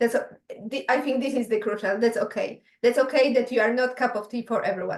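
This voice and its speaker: Speaking at a very fast pace, a woman with a Polish accent holds a high pitch and fairly even intonation. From Poland. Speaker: podcast host. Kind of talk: casual chat. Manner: not fully fluent.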